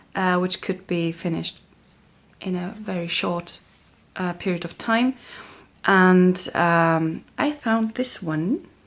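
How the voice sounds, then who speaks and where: A woman speaks in a German accent at a very slow pace. Long, frequent pauses fall on a very clean recording with a silent background. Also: medium pitch for a woman, ordinary pitch variation. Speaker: crafting vlogger. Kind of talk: casual vlog chat. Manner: hesitant, with many fillers.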